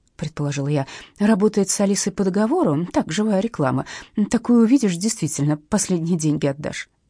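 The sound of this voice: Here is an unforced reading voice. Its intonation is lively.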